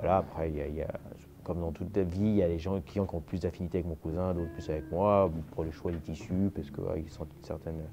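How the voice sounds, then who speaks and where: Over music in the background, a man talks at a very fast pace in a very deep, low pitch. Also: fairly even intonation. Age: 40s. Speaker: master tailor. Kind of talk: interview. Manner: hesitant.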